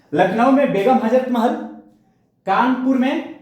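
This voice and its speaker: Audible room echo surrounds a man speaking at an extremely high pitch with ordinary pitch variation. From India, Bhojpuri region (Bihar/eastern UP). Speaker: history teacher. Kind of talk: lecture. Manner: animated.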